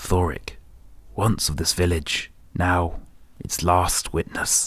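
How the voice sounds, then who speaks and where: A man uses a put-on character voice, very deep and low, shaky and monotone with flat intonation. He speaks at a very slow pace in a very clean recording with a silent background. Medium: read story. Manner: trembling, fearful.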